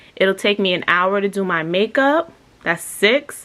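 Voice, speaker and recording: With ordinary pitch variation, a woman talks in a medium pitch. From New York. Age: 20s. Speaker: lifestyle vlogger. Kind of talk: casual vlog talk to camera.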